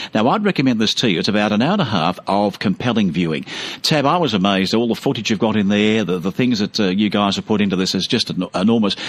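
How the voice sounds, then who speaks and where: Speaking very fast with hardly any pauses, a man with an Australian accent keeps a fairly low pitch and very even loudness. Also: ordinary pitch variation. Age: 60s. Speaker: radio host. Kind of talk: radio interview.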